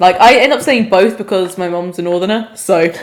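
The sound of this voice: Moderate pace from a woman speaking, noticeable background noise behind her.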